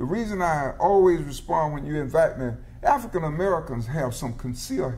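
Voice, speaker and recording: A fairly high-pitched man talks at a moderate pace with lively intonation. The room echo is audible, and there is noticeable background noise. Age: 70s. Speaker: legislator and former teacher. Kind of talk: political panel discussion. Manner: halting, frequent fillers.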